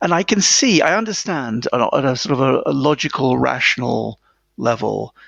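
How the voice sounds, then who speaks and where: A man with a British accent. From England, small town near London. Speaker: author. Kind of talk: interview.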